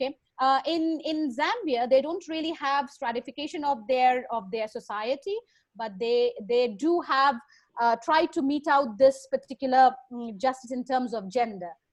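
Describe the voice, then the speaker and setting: Here a woman talks in a high pitch at a moderate pace. Her pitch variation is ordinary. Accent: Bengali. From India, Bengal. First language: Bengali. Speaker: lecturer. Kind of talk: Q&A session. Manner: halting.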